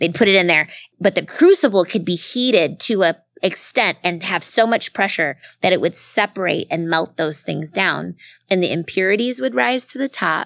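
A woman with an American accent speaks at a moderate pace in an animated tone and a medium pitch, with a dry, close sound and no echo. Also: lively intonation, very clean recording, silent background. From US small town. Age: 40s. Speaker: speaker and coach. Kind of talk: live interview with audience Q&A. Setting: bar with live audience.

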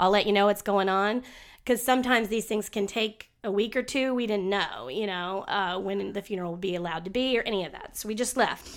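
The recording is very clean, with a silent background. A woman uses an ordinary speaking voice at a fairly quick pace with ordinary pitch variation. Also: medium pitch for a woman. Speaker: podcast co-host. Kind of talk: casual chat. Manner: joking, chatty.

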